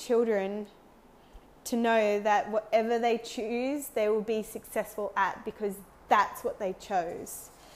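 The voice carries an Australian accent. It moves at a very slow pace with fairly even intonation. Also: woman. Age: 30s. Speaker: podcast host. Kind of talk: casual solo monologue.

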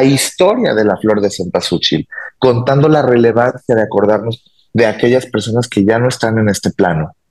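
A man talks at a moderate pace with medium pitch and ordinary pitch variation. He has an ordinary speaking voice. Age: 30s. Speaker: cultural promoter and entrepreneur. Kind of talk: interview.

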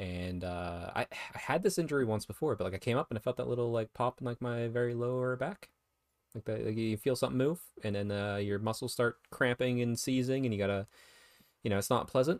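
A man speaks at a fairly quick pace in an ordinary speaking voice, with medium pitch, ordinary pitch variation and a dry, close sound with no echo. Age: 30s. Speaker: wargaming podcast host. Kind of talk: casual chat.

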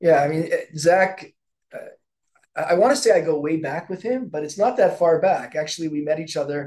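A man talks at a moderate pace. His pitch is high. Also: ordinary pitch variation. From Canada. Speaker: podcast co-host. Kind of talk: casual interview.

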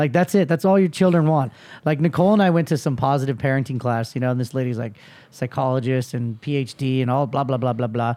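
In a very clean recording with a silent background, a man talks at a very fast pace, his medium-pitched voice dark and mellow in tone, with ordinary pitch variation. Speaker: podcast host. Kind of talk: casual interview chat. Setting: hotel room.

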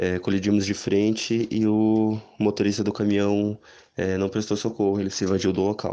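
A man talks at a moderate pace and a fairly low pitch, with a dark, mellow tone. His intonation is monotone and flat against a quiet background. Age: 20s. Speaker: para-athlete. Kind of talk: interview testimony. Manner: halting.

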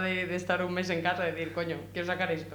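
Heard through noticeable background noise and audible room echo, a woman speaks with a fairly low pitch. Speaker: rapper. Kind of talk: casual interview. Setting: radio studio.

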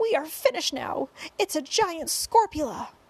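Using a put-on character voice, the speaker goes at a fairly slow pace with big pitch swings. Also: woman, high pitch for a woman.

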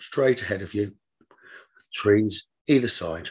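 Soothing and calm in tone, a man speaks at a very slow pace with a fairly low pitch and a somewhat breathy voice. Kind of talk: guided meditation. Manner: slow, soothing, calm and gently paced.

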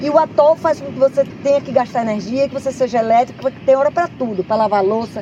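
A woman's high-pitched, animated voice at a very fast pace, ordinary pitch variation, crowd noise behind her. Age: 50s. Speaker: nature reserve chief. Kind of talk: interview.

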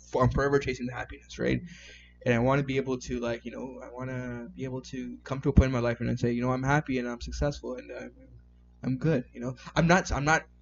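A man with a Canadian accent at a very fast pace, music in the background. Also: big swings in loudness. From Canada, Toronto. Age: 20s. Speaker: IT worker and amateur photographer. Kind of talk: casual chat.

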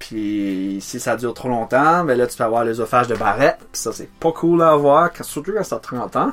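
With an Acadian accent, a man speaks at a moderate pace with hardly any pauses, a medium pitch and lively intonation, over noticeable background noise. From New Brunswick, Acadia. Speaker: singer-songwriter. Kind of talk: casual chat. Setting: home studio in a garage.

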